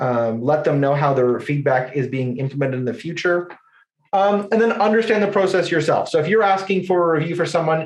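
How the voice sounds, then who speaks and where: In a Canadian accent, the voice moves along at a fairly quick pace. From Ontario, Canada. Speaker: ecommerce agency presenter. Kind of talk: webinar presentation. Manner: fast.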